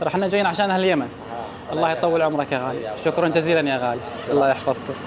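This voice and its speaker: A man's fairly high voice with a Saudi accent, very fast pace and ordinary pitch variation, amid crowd noise and audible room echo. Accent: Saudi Gulf Arabic. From Saudi Arabia. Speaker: travel vlogger. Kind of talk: travel vlog. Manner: animated.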